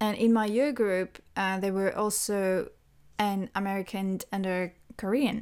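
A woman with a French accent and a medium-pitched voice, at a fairly slow pace, on a very clean recording with a silent background. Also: fairly even intonation. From France. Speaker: language teacher. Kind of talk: solo podcast monologue.

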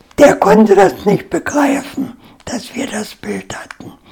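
Over noticeable background noise, a woman speaks at a very slow pace with lively intonation. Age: 80s+. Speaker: war-era eyewitness. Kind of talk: interview, life story.

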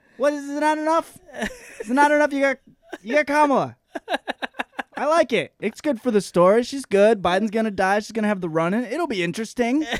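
With an American accent, a man talks at an extremely high pitch and a fairly quick pace, using lively intonation and long, frequent pauses, in a dry, close sound with no echo. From southwest Michigan. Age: 30s. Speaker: stand-up comedian. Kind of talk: casual chat. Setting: studio.

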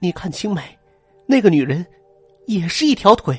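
With music in the background, a man does a put-on character voice that is high, shaky and full of very wide pitch swings, at a moderate pace. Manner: trembling, frightened.

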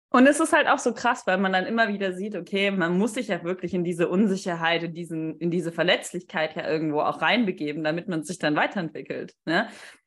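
A woman speaks in a normal speaking voice at medium pitch and a fairly quick pace, with ordinary pitch variation and hardly any pauses, on a very clean recording with a silent background. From Stuttgart area, Germany. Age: 20s. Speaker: podcast co-host, marketing consultant. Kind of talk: casual chat.

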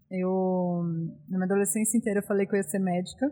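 Fairly even intonation in a woman's medium-pitched voice, captured on a very clean recording with a silent background. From interior of São Paulo state, Brazil. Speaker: beer hunter and former journalist. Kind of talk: casual interview chat.

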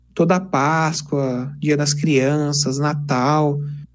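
A man speaks at a fairly high pitch. Music plays in the background, and audible room echo surrounds his voice. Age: 20s. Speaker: engineering student and YouTuber. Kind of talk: casual interview chat. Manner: animated.

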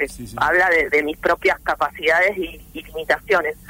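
Noticeable background noise runs under this recording. A woman speaks at a fairly low pitch. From Argentina, southeast Buenos Aires province (rural). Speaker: writer and journalist. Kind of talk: interview.

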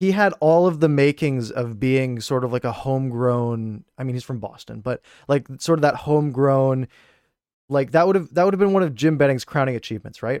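An ordinary speaking voice from a man with a Canadian accent comes at a fairly quick pace and medium pitch with ordinary pitch variation, on a very clean recording with a silent background and dry, close sound with no echo. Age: 20s. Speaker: hockey YouTuber and podcast co-host. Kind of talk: casual sports chat.

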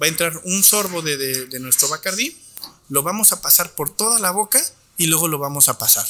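Pitch varies in an ordinary way as a man speaks high and fairly quickly. Noticeable background noise sits behind him. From Torreón, Coahuila, northern Mexico. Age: 30s. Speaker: chef and wine educator. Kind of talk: guided tasting; casual interview chat. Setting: restaurant.

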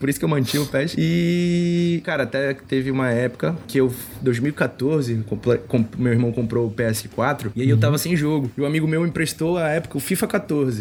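A man's ordinary speaking voice at medium pitch, with lively intonation and a fairly quick pace. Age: 20s. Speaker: football fan guest, PE teacher and personal trainer. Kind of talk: casual chat.

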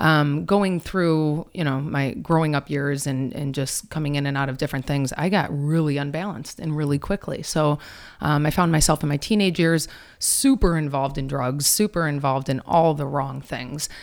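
A woman speaks in a very deep, low voice with a Michigan accent. Her pace is moderate, and her pitch variation is ordinary. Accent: Michigan American. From Detroit, Michigan. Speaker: wellness speaker and author. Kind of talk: casual interview.

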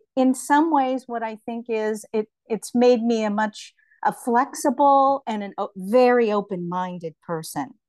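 With an unremarkable speaking voice, a woman speaks fairly slowly at a fairly high pitch with ordinary pitch variation, in a dry, close recording with no echo and a quiet background. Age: 60s. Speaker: writer and visual artist. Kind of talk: casual interview.

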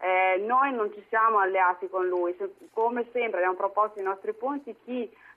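With a plain, everyday voice, a woman speaks at a moderate pace and medium pitch, with fairly even intonation and hardly any pauses. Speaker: politician. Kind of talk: political interview.

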